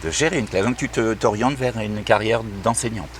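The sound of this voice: A man with a fairly low pitch talks at a moderate pace with ordinary pitch variation.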